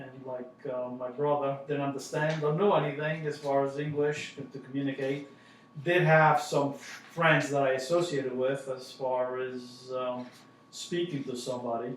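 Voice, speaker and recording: Monotone, flat speech in an Italian accent comes at a moderate pace, with noticeable background noise and audible room echo. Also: man, fairly high pitch for a man. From southern Italy, then Westbury, Long Island. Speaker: family member recounting immigration. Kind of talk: family oral history interview. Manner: halting, many fillers.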